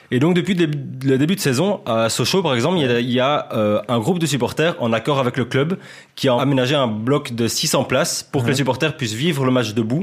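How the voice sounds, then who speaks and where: Ordinary pitch variation in a man's mid-range voice. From Belgium. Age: 20s. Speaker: journalist. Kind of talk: casual chat.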